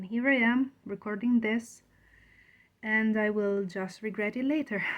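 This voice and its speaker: Here a woman speaks in a fairly high voice with a non-native accent. Her intonation is fairly even and her pace fairly slow. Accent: foreign. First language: not English. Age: 30s. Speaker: aspiring writer, video blogger. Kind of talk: casual vlog talk to camera.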